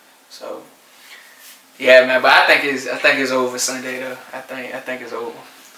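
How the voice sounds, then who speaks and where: Over noticeable background noise and audible room echo, a man in an American accent speaks at a medium pitch in a monotone, flat intonation, with big swings in loudness and long, frequent pauses. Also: moderate pace. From Norfolk, Virginia. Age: 20s. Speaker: teacher and basketball coach. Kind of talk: casual interview.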